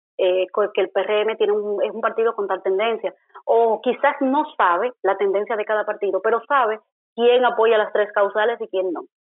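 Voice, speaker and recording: The woman has an unremarkable speaking voice at a fairly high pitch. She keeps a moderate pace and fairly even intonation. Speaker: political scientist and journalist. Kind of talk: interview.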